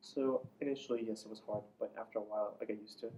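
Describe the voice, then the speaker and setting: A man with an Iranian accent speaks at a fairly quick pace in a dark, mellow tone, his intonation monotone and flat. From Iran, Isfahan. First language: Farsi. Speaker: immigrant interviewee. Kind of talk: interview.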